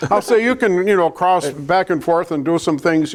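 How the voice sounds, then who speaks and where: Lively intonation marks this man's speech. He has a Wisconsin accent and keeps a moderate pace. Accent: Upper Midwest (Wisconsin) American. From Wisconsin, US Upper Midwest. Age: 70s. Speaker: local election candidate, retired electrician and former mayor. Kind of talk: candidate interview.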